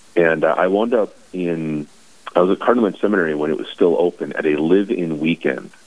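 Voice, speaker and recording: A man speaks with an American accent and ordinary pitch variation. Noticeable background noise is present. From North Dakota, US. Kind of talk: radio interview.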